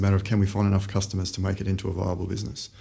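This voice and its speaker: This man talks at a very fast pace with a fairly low pitch. His tone is dark and mellow, and somewhat breathy. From Australia, Brisbane. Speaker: startup founder. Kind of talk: podcast interview.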